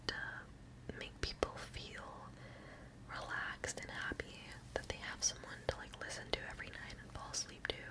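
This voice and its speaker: A woman whispers at a moderate pace with big swings in loudness. Background noise is noticeable. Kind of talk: ASMR whispered ramble / Q&A.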